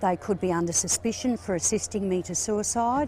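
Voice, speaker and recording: A woman with an Australian accent talks at a fairly quick pace, somewhat breathy, with a dark, mellow tone and ordinary pitch variation. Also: very clean recording, silent background. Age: 60s. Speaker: terminally ill patient. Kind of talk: interview.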